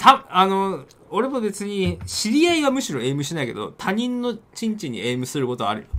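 With a bright, sharp tone, a man talks at a fairly quick pace, his high voice making very wide pitch swings. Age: middle-aged. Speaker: game streamer and talk radio co-host. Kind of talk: casual chat. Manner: laughs often.

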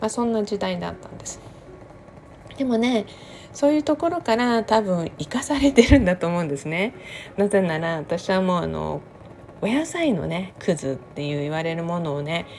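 This woman talks at a moderate pace in a medium pitch. Her pitch swings very widely and her loudness rises and falls in big swings. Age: 50s. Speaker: podcaster. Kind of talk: casual monologue. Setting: home kitchen. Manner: chatty, laughing.

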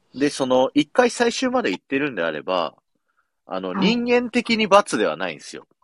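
Recorded with a dry, close sound with no echo, a man talks at a moderate pace with big swings in loudness. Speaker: podcast host and radio station employee. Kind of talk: casual chat. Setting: radio booth.

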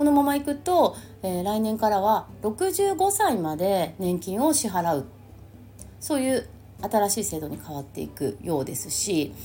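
Her pitch swinging very widely around a medium level, a woman speaks at a fairly slow pace. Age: 50s. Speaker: astrologer. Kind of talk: casual monologue. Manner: chatty with many fillers.

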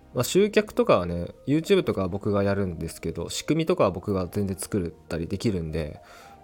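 The man speaks fairly quickly. Behind him, music is playing. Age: 20s. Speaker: podcaster and YouTuber. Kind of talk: solo casual talk. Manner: halting, many fillers.

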